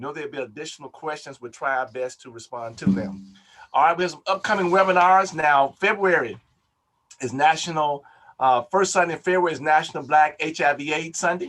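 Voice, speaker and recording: An ordinary speaking voice moves at a fairly quick pace with ordinary pitch variation. Its loudness swings widely. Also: man, fairly high pitch for a man. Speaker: Baptist preacher, health program director. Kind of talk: webinar hosting announcements. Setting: video call webinar.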